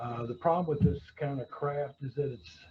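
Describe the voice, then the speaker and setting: A man's dark, mellow, somewhat breathy tone at a moderate pace, with ordinary pitch variation. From rural Kentucky, US South. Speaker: woodworker and carpentry teacher. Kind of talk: webinar talk. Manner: many fillers and hesitations.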